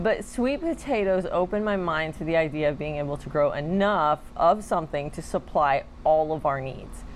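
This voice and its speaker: Lively intonation marks this woman's speech at a moderate pace, with light background noise. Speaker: gardening channel host. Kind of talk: tutorial. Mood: warm, cheerful. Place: garden. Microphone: lapel.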